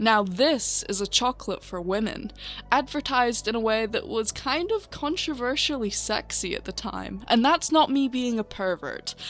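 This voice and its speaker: Backed by music in the background, a woman with a fairly high pitch speaks in a lively intonation. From northern England. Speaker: video essayist. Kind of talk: video essay narration.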